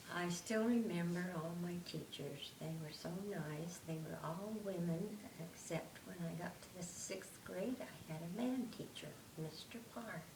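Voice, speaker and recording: A woman with an American accent speaks at a fairly slow pace in a fairly low voice with ordinary pitch variation. Noticeable background noise and audible room echo are present. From Utah, US. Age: 80s+. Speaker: grandmother being interviewed. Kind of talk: family oral history interview.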